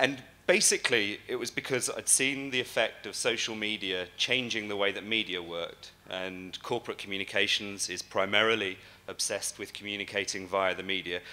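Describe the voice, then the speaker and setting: A man speaks with a bright, sharp tone at a fairly low pitch. His pace is fairly quick and his intonation fairly even. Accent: English. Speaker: conference speaker. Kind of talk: keynote talk. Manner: fast; hesitant, many fillers.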